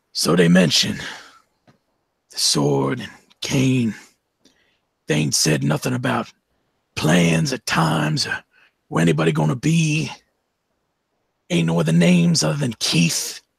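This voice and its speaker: A man's raspy, menacing put-on character voice, very deep and low in pitch, at a moderate pace with long, frequent pauses. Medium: actual play. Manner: menacing, clipped.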